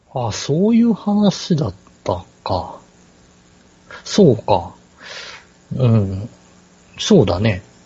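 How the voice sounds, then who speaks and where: Speaking at a very slow pace with long, frequent pauses, a man at a medium pitch makes very wide pitch swings. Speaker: podcast co-host. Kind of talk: casual chat. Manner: hesitant, many fillers.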